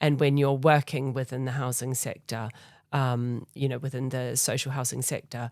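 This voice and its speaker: The woman's pitch is very deep and low. She speaks in a monotone, flat way. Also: moderate pace, very clean recording, silent background. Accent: New Zealand. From New Zealand. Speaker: charity foundation leader. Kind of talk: interview. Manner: hesitant, many fillers.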